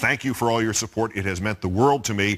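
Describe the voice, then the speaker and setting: A man with an ordinary speaking voice talks at a fairly low pitch with ordinary pitch variation. The recording is very clean, with a silent background. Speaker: TV news host. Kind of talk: TV news presentation.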